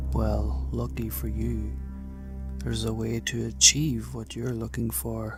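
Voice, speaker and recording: Soft-spoken, a man talks at a fairly slow pace. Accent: Irish. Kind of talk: horror story narration.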